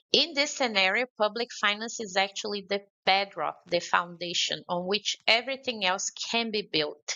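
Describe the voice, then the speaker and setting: The speaker has a Brazilian accent and ordinary pitch variation. The pace is moderate. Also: woman, medium pitch for a woman. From Brazil, Belo Horizonte. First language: Portuguese. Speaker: conference speaker on climate finance. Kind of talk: conference speech. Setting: remote address to a forum.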